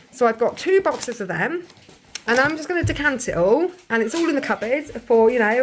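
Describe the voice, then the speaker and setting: A woman speaks in a high pitch at a fairly quick pace. Her pitch swings very widely. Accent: English. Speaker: family vlogger. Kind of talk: grocery haul vlog. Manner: fast; casual.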